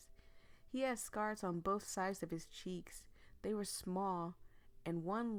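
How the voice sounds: The clip features a natural reading voice with ordinary pitch variation.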